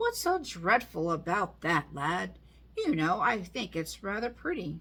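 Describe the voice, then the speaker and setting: A woman's put-on character voice, medium in pitch and fairly slow. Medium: read story. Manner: breezy, self-assured.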